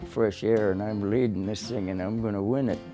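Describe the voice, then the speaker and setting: With music in the background, a man's fairly low voice is heard. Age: 80s+. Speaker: former midget auto racer. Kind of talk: documentary interview.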